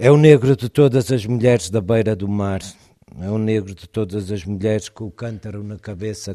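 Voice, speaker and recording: A man talks at a moderate pace in a dark, mellow tone with fairly even intonation over a quiet background. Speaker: poet. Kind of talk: poetry reading and talk between poems.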